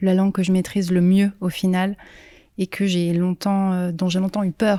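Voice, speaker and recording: A woman with a dark, mellow tone keeps a medium pitch and flat monotone intonation in a very clean recording with a silent background. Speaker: singer-songwriter. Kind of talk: interview. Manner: hesitant, many fillers.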